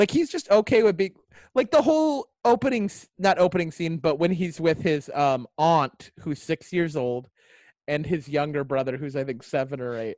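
A man with an ordinary speaking voice talks at a moderate pace, his pitch fairly high and his intonation lively. The sound is dry and close with no echo, against a quiet background. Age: 30s. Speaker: podcast co-host and stand-up comedian. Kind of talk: casual chat.

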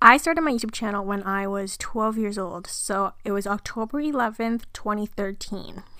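With a bright, sharp tone, a woman talks at a moderate pace with hardly any pauses, recorded very cleanly against a silent background. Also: fairly high pitch for a woman, ordinary pitch variation. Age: 20s. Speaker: youtuber and video editor. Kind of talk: casual solo podcast monologue. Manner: chatty, casual.

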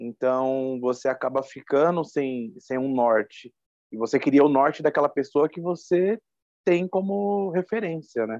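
In an ordinary speaking voice, a man talks at a fairly slow pace with fairly high pitch and lively intonation. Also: dry, close sound with no echo. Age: 30s. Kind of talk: interview testimony.

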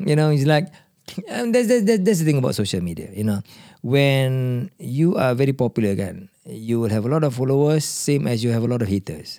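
Using a normal speaking voice, a man at medium pitch talks at a moderate pace with lively intonation. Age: 50s. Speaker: podcast host. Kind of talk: casual chat. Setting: studio.

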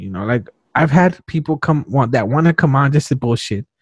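At a fairly quick pace, a man talks with lively intonation in a somewhat breathy voice, the sound dry and close with no echo. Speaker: podcast host and stand-up comedian. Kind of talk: casual interview chat. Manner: fast talker.

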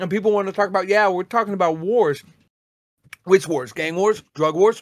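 The speaker is a man with a high pitch. He sounds animated. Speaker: podcast host. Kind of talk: casual chat.

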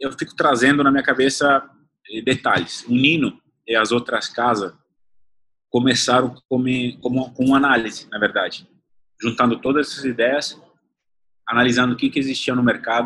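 Long, frequent pauses at a moderate pace from a man of medium pitch, bright and sharp in tone, with fairly even intonation. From Italy (born in the south, grew up partly in the north). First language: Italian (speaking Portuguese). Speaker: chef and restaurant owner. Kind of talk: interview.

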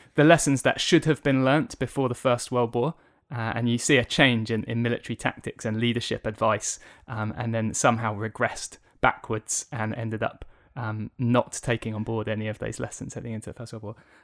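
A man with a southern English accent speaks at a fairly quick pace, his intonation fairly even. The sound is dry and close, with no echo. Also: medium pitch for a man, very clean recording, silent background. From southern England, Kent. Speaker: charity communications and media worker. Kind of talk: interview testimony. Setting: office recording, face to face.

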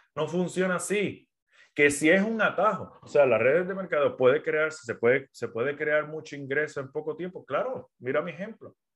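A man with a Puerto Rican accent speaks at a moderate pace and a fairly high pitch, with ordinary pitch variation. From Puerto Rico. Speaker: business mentor and podcaster. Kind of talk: livestream talk. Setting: social media live stream.

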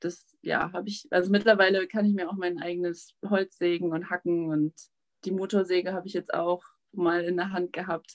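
With a dry, close sound and no echo, a woman talks at a moderate pace in a fairly low pitch, her intonation monotone and flat. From Germany, Witten near Cologne. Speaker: emigrant living in the wilderness. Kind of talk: casual interview. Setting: video call from a cabin.

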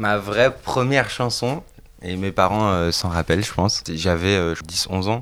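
A man with a fairly low pitch talks at a fairly slow pace, varying his pitch in an ordinary way. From France, Bordeaux. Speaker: singer-songwriter. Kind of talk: casual interview. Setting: friends' home. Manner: halting, many repetitions.

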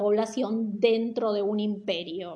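Amid audible room echo, a woman with a dark, mellow tone speaks at a very slow pace. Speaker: teacher. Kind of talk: lecture. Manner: casual, hesitant with fillers.

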